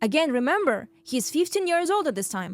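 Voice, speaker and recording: Over background music, a woman with a Russian accent speaks at a fairly quick pace in an animated tone. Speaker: podcast host. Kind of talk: storytelling monologue.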